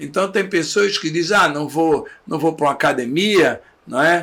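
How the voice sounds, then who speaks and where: Bright and sharp in tone, a man speaks at a fairly slow pace in a high pitch. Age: 70s. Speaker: dentist. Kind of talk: interview.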